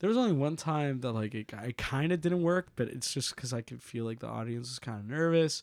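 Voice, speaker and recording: A man with an American accent speaks at a fairly quick pace, hardly pausing, at medium pitch with ordinary pitch variation. His is an unremarkable speaking voice, on a very clean recording with a silent background. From Puerto Rico, raised partly in Florida. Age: 20s. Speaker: comedian. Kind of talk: casual chat.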